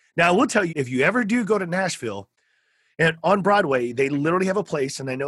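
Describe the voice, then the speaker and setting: With a Texan accent, a man's fairly high voice moves through very wide pitch swings. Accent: Texan American. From South Texas. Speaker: podcast host. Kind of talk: interview conversation; show promo. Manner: animated.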